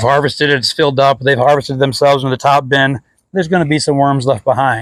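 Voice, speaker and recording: A man talks very fast in a fairly high pitch. His loudness stays very even and his intonation fairly even. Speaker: worm composting grower. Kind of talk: tutorial. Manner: casual, rambling.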